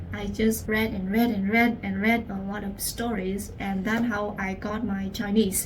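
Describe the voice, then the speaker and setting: A woman at a fairly slow pace, medium pitch, and monotone, flat intonation, with audible room echo and noticeable background noise. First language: Vietnamese. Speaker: language teacher. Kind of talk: personal story.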